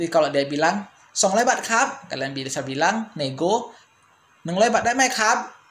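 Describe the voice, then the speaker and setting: Moving at a fairly quick pace, a man with a high pitch makes very wide pitch swings. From Indonesia. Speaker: language teacher YouTuber; language teacher vlogger. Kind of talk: tutorial. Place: home room.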